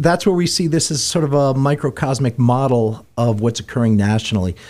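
The very clean recording, with a silent background, captures a man speaking at a moderate pace. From Warwick, New York. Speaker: radio host. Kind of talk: casual chat. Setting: studio.

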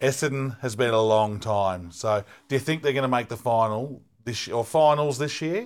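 Recorded very cleanly against a silent background, a man speaks with an Australian accent and ordinary pitch variation. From Melbourne, Australia. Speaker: podcast co-host. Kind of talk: casual interview.

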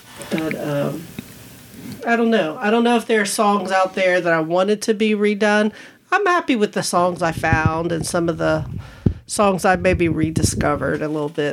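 Noticeable background noise sits behind a woman speaking at a moderate pace and medium pitch with ordinary pitch variation. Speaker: podcast guest, host's spouse. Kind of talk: casual chat. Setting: home studio.

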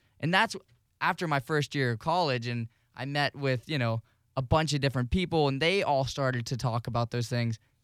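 Over a very clean recording with a silent background, a man with a plain, everyday voice talks fairly quickly at a fairly high pitch, with ordinary pitch variation. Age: 20s. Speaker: radio associate producer and college student. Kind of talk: casual chat.

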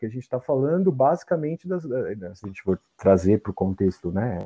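The man's pitch rises and falls very widely. He keeps a moderate pace. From Brazil, São Paulo. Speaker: photographer and psychology student. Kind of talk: casual chat.

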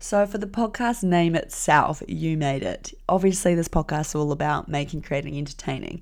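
A woman with a New Zealand accent at a moderate pace, hardly any pauses, on a very clean recording with a silent background. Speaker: podcast host and graphic designer. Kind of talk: solo podcast monologue. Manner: casual, lots of fillers.

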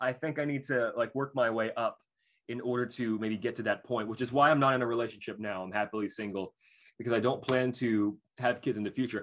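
In an unremarkable speaking voice, a man of medium pitch talks at a fairly quick pace with fairly even intonation over a quiet background. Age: 20s. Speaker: college student. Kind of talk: casual chat.

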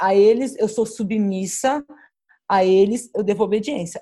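Her tone is dark and mellow. This woman speaks at a medium pitch with ordinary variation. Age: 40s. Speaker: pastor. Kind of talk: casual chat.

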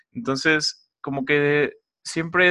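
Bright and sharp in tone, a man speaks at a fairly high pitch with ordinary pitch variation. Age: 20s. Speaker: podcast host. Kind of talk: solo podcast monologue. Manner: casual, many filler words.

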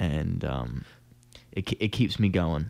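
The recording is very clean, with a silent background. A man speaks with vocal fry and a very deep, low pitch. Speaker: podcast co-host and drummer. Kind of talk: casual banter chat.

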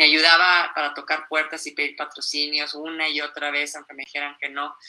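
At a fairly quick pace, a woman talks in a bright, sharp tone at a very deep, low pitch with monotone, flat intonation. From Mexico. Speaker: mountaineer. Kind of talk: interview. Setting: live stream.

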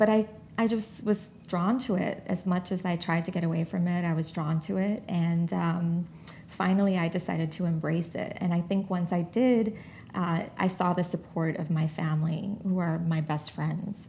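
Woman with an American accent, fairly low in pitch and somewhat breathy, with a dark, mellow tone, fairly even intonation and a moderate pace. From New York City (Jamaica, Queens). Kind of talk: interview.

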